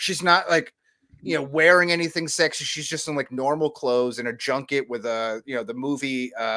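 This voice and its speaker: A man speaks loudly at a fairly high pitch. His tone is bright and sharp. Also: ordinary pitch variation, fairly quick pace. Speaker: podcast co-host. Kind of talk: casual chat. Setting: at home.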